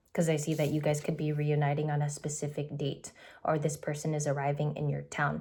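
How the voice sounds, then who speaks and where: At a fairly quick pace, a woman speaks in a very deep, low pitch with a dark, mellow, somewhat breathy tone, monotone, flat intonation and very even loudness. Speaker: tarot reader. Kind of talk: tarot reading. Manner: fast.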